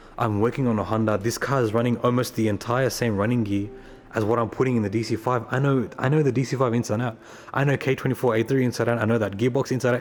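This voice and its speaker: In an Australian accent, a man talks very fast at medium pitch with fairly even intonation, while noticeable background noise can be heard. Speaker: car enthusiast vlogger. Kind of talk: casual vlog.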